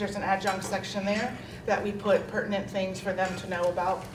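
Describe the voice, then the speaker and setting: Noticeable background noise, plus audible room echo. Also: woman. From New York. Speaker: HR officer presenting professional development. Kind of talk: presentation to colleagues. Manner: fast; casual, conversational.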